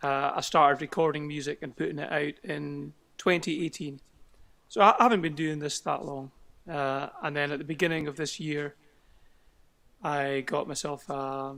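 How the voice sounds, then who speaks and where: With a Scottish accent, a man speaks in a fairly high pitch and a bright, sharp tone at a moderate pace. His intonation stays fairly even, broken by long, frequent pauses. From Scotland. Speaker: singer-songwriter. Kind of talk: interview. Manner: hesitant.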